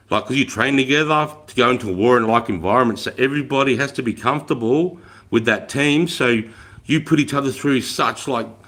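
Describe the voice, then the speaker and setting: This man talks at a fairly quick pace in an animated tone. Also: medium pitch for a man, ordinary pitch variation. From Australia. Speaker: army veteran livestreamer. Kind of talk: casual live stream chat. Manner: loud.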